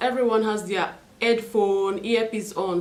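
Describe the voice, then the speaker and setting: The delivery is animated, with ordinary pitch variation and a fairly slow pace. Noticeable background noise and audible room echo fill the recording. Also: woman. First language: not English, own mother tongue. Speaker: beauty and lifestyle vlogger. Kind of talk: unboxing video.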